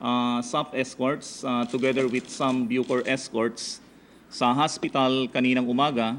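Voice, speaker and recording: This man speaks very slowly. His pitch is medium. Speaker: prison bureau spokesperson. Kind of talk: press conference briefing. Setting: press conference. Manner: loud; hesitant, many fillers.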